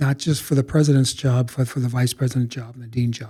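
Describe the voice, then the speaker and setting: A man's medium-pitched voice, dark and mellow and somewhat breathy, holds a monotone, flat intonation. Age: 60s. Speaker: college president. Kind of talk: podcast interview. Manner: halting, repeats words.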